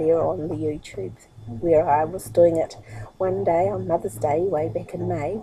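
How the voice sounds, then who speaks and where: A woman with a New Zealand accent and very wide pitch swings. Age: 60s. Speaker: internet marketer and vlogger. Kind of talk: casual vlog monologue. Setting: sitting on her bed at home. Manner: fast, rushing.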